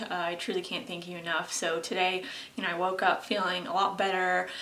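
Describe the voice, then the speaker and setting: Amid noticeable background noise and audible room echo, a woman speaks at a medium pitch. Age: 20s. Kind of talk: casual vlog monologue. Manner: hesitant, many fillers.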